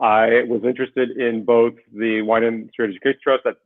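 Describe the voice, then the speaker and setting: A man with an American accent, medium pitch, fairly quick pace and monotone, flat intonation. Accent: sounds completely American. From Israel. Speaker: winery board member. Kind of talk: interview.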